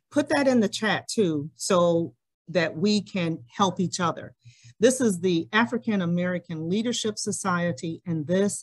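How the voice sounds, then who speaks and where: Speaking in a plain, everyday voice, a woman uses a fairly low pitch and lively intonation at a fairly slow pace. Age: 60s. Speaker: community meeting moderator. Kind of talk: hybrid community forum moderation. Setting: meeting room with audience and Zoom.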